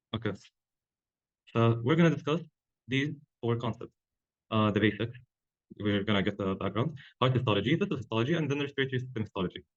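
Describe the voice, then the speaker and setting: A man at a medium pitch talks very fast, broken up by long, frequent pauses. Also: ordinary pitch variation. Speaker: medical student tutor. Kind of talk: lecture.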